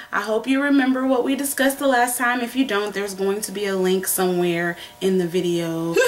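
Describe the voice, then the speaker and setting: Against noticeable background noise, the speaker talks with lively intonation and hardly any pauses. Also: woman, medium pitch for a woman. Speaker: web video host, dating advice. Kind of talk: casual chat. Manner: loud; trying to speak softly.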